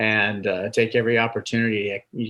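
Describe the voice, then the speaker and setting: A man's bright, sharp voice at a medium pitch, in a very clean recording with a silent background. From Indiana, US Midwest. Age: 60s. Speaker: retired astronaut and airline pilot. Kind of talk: podcast interview. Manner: halting, many fillers and repeats.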